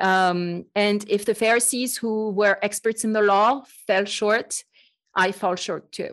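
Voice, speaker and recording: With a French accent, a woman speaks at a medium pitch and a fairly slow pace, her intonation fairly even. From France. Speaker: podcast host and Bible teacher. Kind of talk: casual chat.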